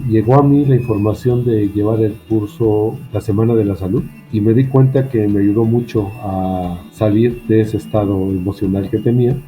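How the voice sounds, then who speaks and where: A man speaks at a moderate pace with a fairly low pitch, fairly even intonation and hardly any pauses, with music playing in the background. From Mexico. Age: 60s. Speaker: university professor. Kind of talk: testimony. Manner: halting.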